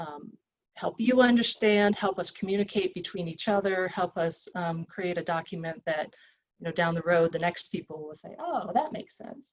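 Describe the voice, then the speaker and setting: A woman uses a normal speaking voice at medium pitch and a moderate pace, with ordinary pitch variation. Her loudness swings widely. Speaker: environmental consultant presenting site report. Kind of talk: technical presentation at online public meeting.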